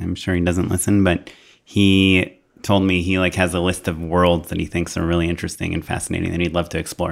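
Delivering his words at a fairly quick pace, a man with a very deep, low pitch keeps a monotone, flat intonation. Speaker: podcast host, filmmaker. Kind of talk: casual conversational podcast interview.

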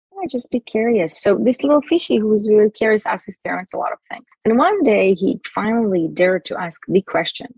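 A woman with an Israeli accent talks at a fairly quick pace in a medium, somewhat breathy voice with very wide pitch swings, the sound dry and close with no echo. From Israel, Jerusalem. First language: Hebrew. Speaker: self esteem mentor and author. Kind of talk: interview. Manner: halting.

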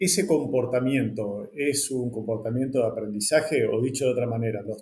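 Somewhat breathy, a man talks at a medium pitch. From northern Argentina. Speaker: podcast host. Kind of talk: interview.

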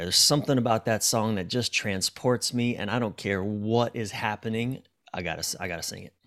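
An animated man at a medium pitch and moderate pace, on a very clean recording with a silent background. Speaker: relationship coach and author. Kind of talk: casual interview conversation. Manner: animated, profane, halting.

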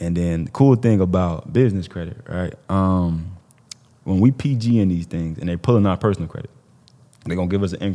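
Speaking at a fairly quick pace with an American accent, a man has a very deep, low pitch and a dark, mellow tone. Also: ordinary pitch variation. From Illinois. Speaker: business credit entrepreneur. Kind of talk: casual chat.

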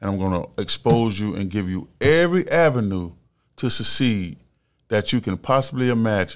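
Lively in intonation, a man with an American accent and an ordinary speaking voice talks at a medium pitch and a moderate pace. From Melbourne, Florida. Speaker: former college football player and actor. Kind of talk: casual interview.

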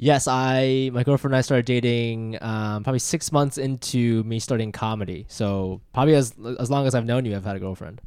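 An unremarkable speaking voice from a man at medium pitch, fairly quick with hardly any pauses and ordinary pitch variation, on a very clean recording with a silent background. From Ohio, US (born in Japan). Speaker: comedian. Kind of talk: casual chat.

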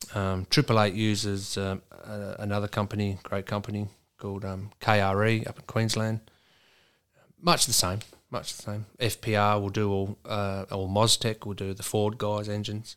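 Speaking at a fairly slow pace with an Australian accent, a man keeps a monotone, flat intonation in a very clean recording with a silent background. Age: 40s. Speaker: truck driver and amateur racing driver. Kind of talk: casual chat.

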